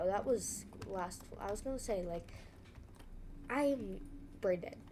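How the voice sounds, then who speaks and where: With audible room echo, a woman talks at a fairly slow pace in a medium-pitched voice of dark, mellow tone and lively intonation. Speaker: gaming streamer. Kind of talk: gameplay commentary. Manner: animated.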